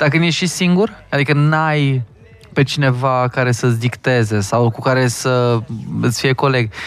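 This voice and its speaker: This man has an unremarkable speaking voice, pitched in the medium range with ordinary pitch variation. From Hunedoara, Romania. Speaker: magician. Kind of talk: casual chat.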